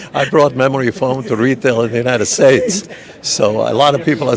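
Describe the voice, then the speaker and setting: Noticeable background noise behind a very fast delivery. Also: man. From Cuba, raised New Jersey. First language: Spanish. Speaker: businessman. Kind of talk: red carpet interview.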